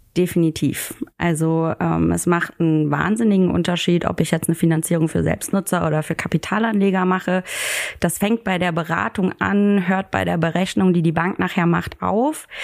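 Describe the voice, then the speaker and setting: Fairly low-pitched woman, very even in loudness and fairly even in intonation, against noticeable background noise. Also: moderate pace. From Germany, near Koblenz. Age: 20s. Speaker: financial advisor. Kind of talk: podcast interview.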